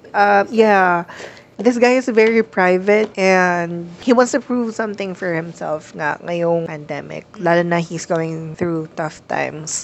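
A woman speaks with a Filipino accent at a fairly slow pace. Her pitch sits fairly low. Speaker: podcast co-host. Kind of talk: casual chat.

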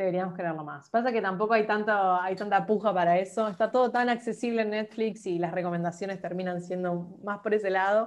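Against a quiet background, an unremarkable speaking voice moves at a fairly quick pace with fairly even intonation and hardly any pauses. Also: woman, medium pitch for a woman. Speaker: podcast host. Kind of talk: casual interview chat.

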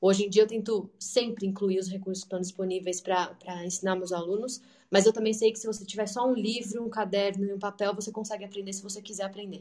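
A woman's dark, mellow tone at a very fast pace, flat and monotone in intonation, with big swings in loudness. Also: medium pitch for a woman. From Brazil. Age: 30s. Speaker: English teacher. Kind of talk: online talk / presentation.

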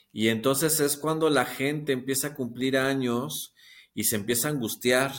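Recorded very cleanly against a silent background, a man speaks fairly slowly at medium pitch in an ordinary speaking voice. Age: 50s. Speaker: TikTok creator and psychotherapy student. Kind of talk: casual interview conversation.

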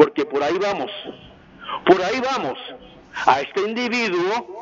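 A man speaks at a high pitch with ordinary pitch variation. Noticeable background noise can be heard behind him. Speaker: caller. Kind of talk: call-in opinion.

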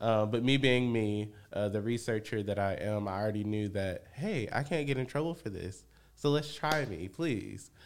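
A man with an American accent speaks in a plain, everyday voice, fairly low in pitch with ordinary pitch variation. He keeps a moderate pace with hardly any pauses. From Michigan, Benton Harbor. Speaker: community organizer and researcher. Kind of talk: casual interview.

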